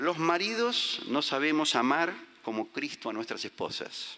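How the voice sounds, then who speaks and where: A man with a plain, everyday voice, fairly high in pitch, at a fairly slow pace with lively intonation. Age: 50s. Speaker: visiting preacher. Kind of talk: sermon.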